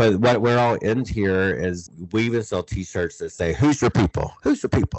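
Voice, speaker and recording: A man with an American accent and an unremarkable speaking voice, fairly low in pitch, with ordinary pitch variation. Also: moderate pace. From southeastern North Carolina (Lumbee). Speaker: philanthropy leader and author. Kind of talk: interview.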